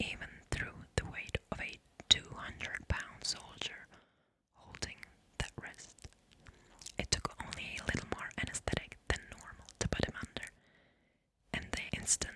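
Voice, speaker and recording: Noticeable background noise surrounds a whispering woman. Her words come at a fairly slow pace. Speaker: ASMR creator. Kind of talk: horror story reading, creepypasta. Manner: whispered, soft.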